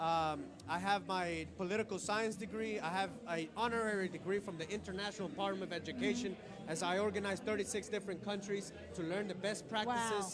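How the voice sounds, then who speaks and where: A man with a Spanish accent speaks at a fairly quick pace in a high pitch. Audible echo fills the room around him. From Colombia. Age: young. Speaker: political candidate. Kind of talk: interview. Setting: networking event. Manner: animated.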